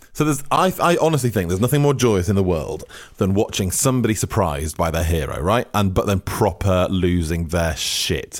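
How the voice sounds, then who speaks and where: With a British accent, a man talks at a fairly quick pace with a fairly low pitch. His loudness stays very even while his pitch swings very widely. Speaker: comedy podcast co-host. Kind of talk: casual banter.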